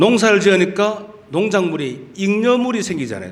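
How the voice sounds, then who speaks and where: A man with a Gyeongsang accent speaks in an animated tone at a high pitch, with lively intonation. Audible room echo and noticeable background noise surround his voice. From Gyeongsang region, South Korea. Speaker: pastor. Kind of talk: sermon. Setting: church.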